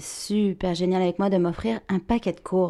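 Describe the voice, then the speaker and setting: The recording is very clean, and the background is silent. The tone of the voice is dark and mellow. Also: woman. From France. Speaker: actress and voice actor. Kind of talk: interview. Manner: bright, sparkling energy.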